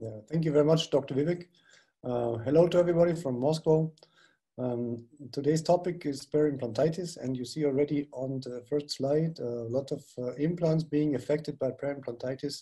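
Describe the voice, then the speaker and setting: A man with a German accent, somewhat breathy and fairly high in pitch, with a dark, mellow tone and fairly even intonation. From Germany, Bavaria region. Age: 60s. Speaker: dentist and implantologist. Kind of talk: webinar lecture.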